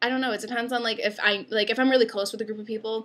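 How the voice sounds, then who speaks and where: With an upstate New York accent, a woman speaks in a bright, sharp tone at a fairly high pitch, her intonation monotone and flat. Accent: upstate New York-ish American. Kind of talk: casual talk to camera.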